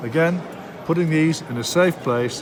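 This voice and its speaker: A man's fairly high voice with a North East English accent, lively intonation and a moderate pace, over noticeable background noise. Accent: Darlington, North East English. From Darlington, England. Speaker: model railway live steam instructor. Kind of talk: hobby tutorial demonstration. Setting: model rail show.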